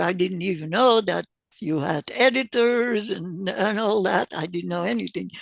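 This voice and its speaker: With vocal fry and lively intonation, a woman speaks at a fairly low pitch against a quiet background. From Belgium. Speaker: memoir author and cult survivor. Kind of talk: interview. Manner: halting, with repetitions.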